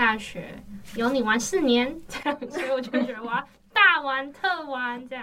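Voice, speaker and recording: A woman's high-pitched voice with lively intonation and big swings in loudness, set against noticeable background noise. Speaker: university student. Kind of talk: casual chat.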